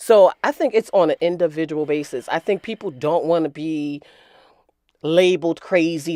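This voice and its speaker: In a plain, everyday voice, a woman speaks at a fairly low pitch with lively intonation, on a very clean recording with a silent background and a dry, close sound with no echo. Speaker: mother of the host. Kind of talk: casual chat.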